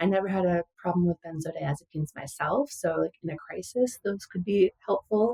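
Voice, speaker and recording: Speaking fairly quickly with an American accent, a woman has a medium pitch, a dark, mellow tone that is somewhat breathy, and ordinary pitch variation, recorded dry and close with no echo. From US Midwest, western Wisconsin. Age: 40s. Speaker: musician and former data analyst. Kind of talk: interview testimony. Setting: podcast interview.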